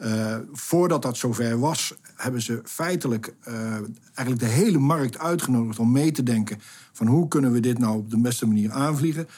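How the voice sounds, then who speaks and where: At a moderate pace, a man talks in a dark, mellow tone with a medium pitch and ordinary pitch variation. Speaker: project director. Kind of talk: interview. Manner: hesitant, many fillers.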